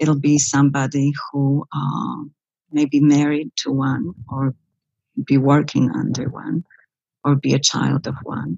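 A woman speaks at a very slow pace. Long, frequent pauses break up her speech. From Poland, Bydgoszcz. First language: Polish (speaking German). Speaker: psychologist. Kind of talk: interview.

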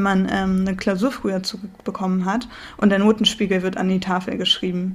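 A woman of medium pitch speaks at a fairly quick pace in a flat monotone. Noticeable background noise is present. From northern Germany. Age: 20s. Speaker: podcast co-host, student. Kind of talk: casual chat.

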